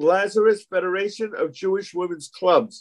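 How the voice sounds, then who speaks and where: Against a quiet background, a man with a high pitch speaks at a moderate pace. His intonation is lively, and the sound is dry and close with no echo. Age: 70s. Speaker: senior party educator. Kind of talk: lecture.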